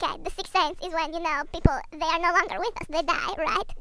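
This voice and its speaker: A squeaky, put-on character voice at an extremely high pitch races along at a very fast pace over clear background noise. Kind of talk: mock-academic comic lecture. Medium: comedy sketch. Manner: deadpan.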